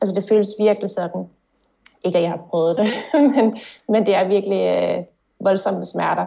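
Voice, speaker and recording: A woman with medium pitch speaks at a moderate pace with vocal fry. Her pauses are long and frequent. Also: ordinary pitch variation. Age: 30s. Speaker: concussion patient. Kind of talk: testimony in interview. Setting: video call.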